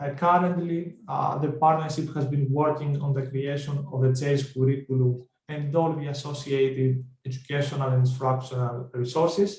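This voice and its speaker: A man with a Greek accent speaks at a moderate pace in a fairly high, somewhat breathy voice with monotone, flat intonation and audible room echo. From Greece. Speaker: project researcher presenter. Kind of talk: conference presentation. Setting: online webinar.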